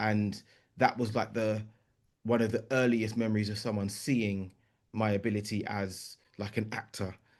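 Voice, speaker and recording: A man with a London accent in a monotone, flat intonation, at a moderate pace with long, frequent pauses, over a quiet background. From East London. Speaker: writer, composer and performer. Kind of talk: podcast interview answer.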